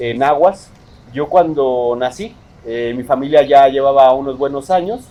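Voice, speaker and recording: Speaking in a Mexico City accent, a man has a fairly high pitch. His pace is fairly slow, with ordinary pitch variation. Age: 30s. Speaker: poet. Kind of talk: interview.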